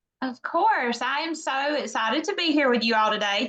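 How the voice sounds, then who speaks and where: A woman with a Southern US accent speaks in a raised, projected voice with lively intonation. Her pace is moderate, and there is noticeable background noise. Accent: Southern US (Georgia). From US South, Baxley, Georgia. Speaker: direct sales leader. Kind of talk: guest talk on training call.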